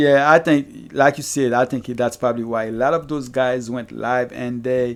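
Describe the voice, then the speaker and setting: A man speaks with a Haitian accent. His pitch is medium and his pace moderate. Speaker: fantasy basketball streamer. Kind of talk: live stream chat with Q&A. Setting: live stream. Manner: halting. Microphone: new microphone.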